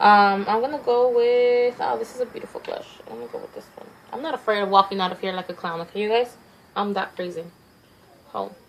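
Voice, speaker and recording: A woman with a fairly high voice talks very fast over noticeable background noise. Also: ordinary pitch variation, big swings in loudness. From Mexico. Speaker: beauty vlogger. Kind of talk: makeup tutorial. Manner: fast, words tumbling out.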